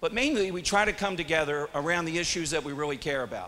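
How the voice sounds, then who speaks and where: This man's voice is loud, with a bright, sharp tone. His pitch moves in an ordinary way. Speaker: radio talk show host. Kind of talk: live event hosting. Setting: stage with audience.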